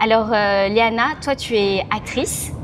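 Very slowly, a woman talks in a space with audible room echo and clearly audible background noise. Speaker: podcast host. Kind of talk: casual interview. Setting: restaurant.

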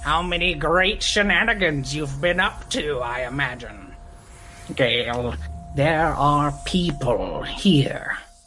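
In a put-on character voice, the speaker goes at a fairly slow pace with a low-to-middle pitch, and background noise is clearly heard. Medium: actual play. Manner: odd, blunt, abrupt.

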